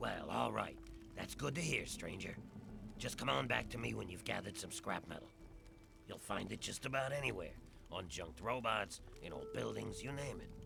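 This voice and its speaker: A man performs a put-on character voice at a moderate pace, leaving long, frequent pauses. Background noise is clearly audible. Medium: video game. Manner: gruff, plainspoken.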